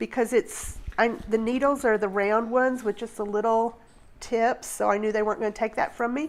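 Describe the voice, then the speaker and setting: On a very clean recording with a silent background, a woman with a fairly high pitch and an unremarkable speaking voice talks at a moderate pace with fairly even intonation. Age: 60s. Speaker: nurse and craft podcast co-host. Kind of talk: casual chat.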